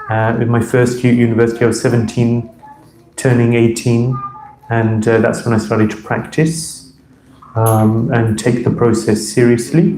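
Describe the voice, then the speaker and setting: With a London accent, a man speaks in a medium pitch and a monotone, flat intonation at a moderate pace, with audible room echo and noticeable background noise. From London, England. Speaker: monk and spiritual teacher. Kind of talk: lecture to temple audience. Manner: hesitant, many fillers.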